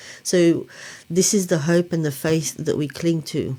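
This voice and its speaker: Speaking at a very slow pace, a woman delivers her words with fairly even intonation and a dark, mellow tone. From Lebanon. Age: 60s. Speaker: blogger and mother sharing miscarriage experience. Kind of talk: testimony. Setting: studio.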